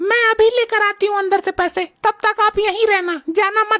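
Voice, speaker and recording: In a put-on character voice, a woman speaks at an extremely high pitch and a moderate pace with monotone, flat intonation and a dry, close sound with no echo. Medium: comedy sketch.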